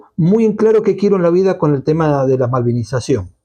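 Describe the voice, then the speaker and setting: A man with a dark, mellow tone and a fairly high pitch speaks in very wide pitch swings. His pace is moderate against a quiet background. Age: 60s. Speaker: Malvinas commemoration activist. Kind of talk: interview conversation.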